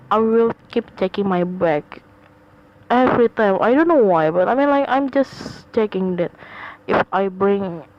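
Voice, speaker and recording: A woman speaks fairly slowly, her intonation lively and her loudness very even. Noticeable background noise runs beneath her. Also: medium pitch for a woman. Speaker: podcaster; college student. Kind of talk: casual personal podcast monologue. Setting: home recording, low quality sound. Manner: hesitant, many fillers and repetitions.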